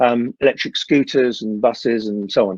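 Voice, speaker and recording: A man speaks at a moderate pace, with a dry, close sound and no echo. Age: 60s. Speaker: electric vehicle industry expert. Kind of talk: panel talk. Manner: hesitant, many fillers.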